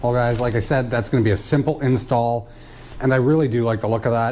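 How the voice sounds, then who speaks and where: Noticeable noise runs behind this man. He speaks at a medium pitch and a very fast pace. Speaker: off-road vehicle YouTuber. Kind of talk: product review and install tutorial. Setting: outdoors in a snowstorm. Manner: casual, lots of fillers.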